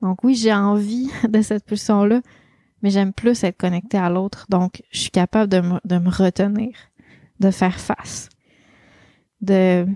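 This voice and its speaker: In a Quebec accent, a woman speaks at a medium pitch and a fairly slow pace with long, frequent pauses and fairly even intonation, in a very clean recording with a silent background and a dry, close sound with no echo. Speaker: life coach and podcast host. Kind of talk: solo podcast monologue. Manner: casual, with many fillers.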